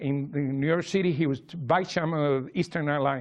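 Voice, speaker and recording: With a Cuban accent, a man speaks at a fairly quick pace, his pitch varying in an ordinary way. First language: Spanish. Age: 60s. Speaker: memoir author. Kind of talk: public talk. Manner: halting.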